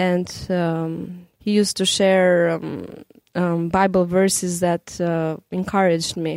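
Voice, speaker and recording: A woman speaks with an Albanian accent at a very slow pace. Her fairly low pitch stays monotone and flat. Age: young. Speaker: radio programming director. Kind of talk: interview.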